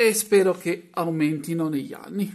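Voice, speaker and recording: The voice belongs to a man and sits high in pitch. It varies in an ordinary way. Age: 30s. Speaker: YouTuber, washing machine hobbyist; YouTuber. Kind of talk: vlog monologue. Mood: celebratory, proud. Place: home room. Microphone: phone near.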